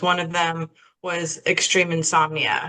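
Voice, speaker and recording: Speaking at a fairly slow pace, a woman has a plain, everyday voice with a fairly low pitch. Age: 60s. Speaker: holistic life coach, minister. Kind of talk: interview conversation.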